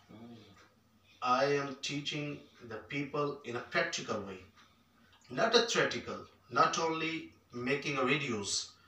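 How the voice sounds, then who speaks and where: A man with a fairly high pitch and ordinary pitch variation speaks at a fairly slow pace with long, frequent pauses and big swings in loudness, amid audible room echo. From Pakistan, rural Punjab (Khanewal); Punjab, Pakistan. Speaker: entrepreneur and business mentor; guest. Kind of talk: fireside chat interview. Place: hall.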